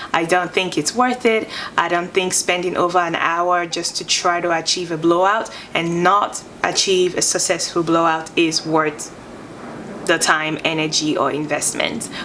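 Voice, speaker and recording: A woman talks at a moderate pace in a fairly low pitch, with fairly even intonation. There is noticeable background noise. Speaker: beauty vlogger. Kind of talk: product review. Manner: slurring words at times.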